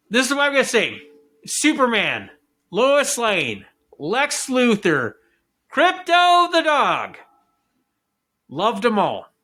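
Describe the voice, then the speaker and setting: Shouting in a raised, projected voice of extremely high pitch, a man speaks at a very slow pace with long, frequent pauses, lively intonation, a bright, sharp tone and very even loudness. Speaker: podcast host. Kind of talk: casual movie review rant. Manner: loud, yelling.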